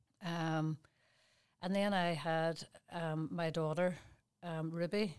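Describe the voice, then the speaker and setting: A woman speaks in a Derry accent at a fairly low pitch. Her intonation is monotone and flat. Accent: Northern Irish (Derry). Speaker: fitness business owner and personal trainer. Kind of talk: interview. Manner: halting.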